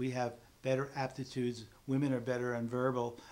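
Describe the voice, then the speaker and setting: A man at medium pitch, moderate pace and flat, monotone intonation. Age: 60s. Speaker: memory teacher and presenter. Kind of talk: sales pitch. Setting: studio.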